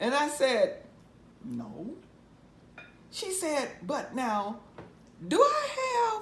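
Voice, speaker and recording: A woman with a Southern US accent talks very slowly, leaving long, frequent pauses. Her loudness swings widely over noticeable background noise. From Mississippi, US South. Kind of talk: oral history interview answer. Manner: conversational, storytelling.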